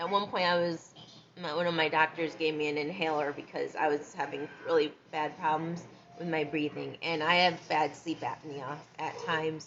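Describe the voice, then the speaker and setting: Soft-spoken delivery at a moderate pace with monotone, flat intonation. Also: woman, very deep, low pitch for a woman. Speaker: vlogger. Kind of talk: casual monologue vlog.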